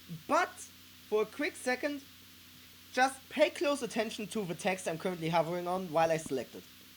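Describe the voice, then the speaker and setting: Speaking with a German accent, a woman uses a fairly high pitch and a fairly quick pace, with long, frequent pauses, very wide pitch swings and big swings in loudness. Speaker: gaming YouTuber, playtester. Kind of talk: gameplay commentary. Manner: casual with frequent fillers.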